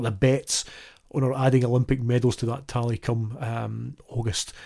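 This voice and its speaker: A somewhat breathy man's voice carries a dark, mellow tone. His pace is moderate. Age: 50s. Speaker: cycling podcast host. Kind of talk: casual solo commentary. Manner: hesitant with frequent fillers.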